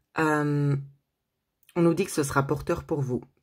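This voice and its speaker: A woman speaks in a very deep, low voice that is somewhat breathy, with monotone, flat intonation. The recording is very clean, with a silent background. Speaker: tarot card reader, medium. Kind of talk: tarot reading video. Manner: hesitant, many fillers.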